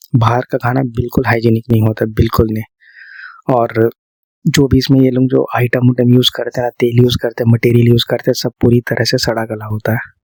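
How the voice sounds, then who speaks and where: Speaking at a moderate pace with hardly any pauses, a man uses a medium pitch and monotone, flat intonation. The sound is dry and close, with no echo. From India. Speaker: ASMR creator. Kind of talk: ASMR girlfriend-style sleep talk. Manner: soft, calming, conversational.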